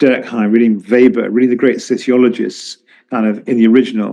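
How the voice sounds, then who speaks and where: Talking at a very fast pace with a southern British accent, a man keeps a medium pitch and monotone, flat intonation. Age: 70s. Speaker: economist and journalist. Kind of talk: interview. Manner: halting, with many repetitions.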